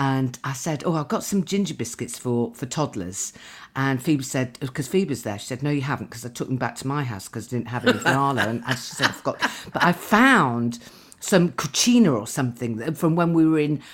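A woman talks at a fairly quick pace with an extremely low pitch and few pauses. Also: lively intonation.

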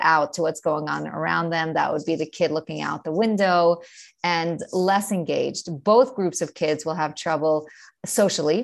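A woman with a New York accent speaks at a fairly slow pace in a fairly low voice, her pitch varying in an ordinary way against a quiet background. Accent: New York American. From New York, US. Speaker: ADHD coach and author, mother, teacher. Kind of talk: interview, casual chat.

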